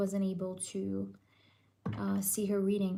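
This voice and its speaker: A woman's voice at medium pitch, with audible room echo. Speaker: tarot reader. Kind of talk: live stream tarot reading. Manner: quiet, lowered voice; casual, filler-heavy.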